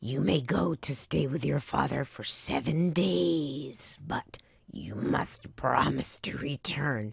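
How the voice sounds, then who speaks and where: A growling, put-on character voice, low-to-middle in pitch, at a fairly slow pace. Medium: read story.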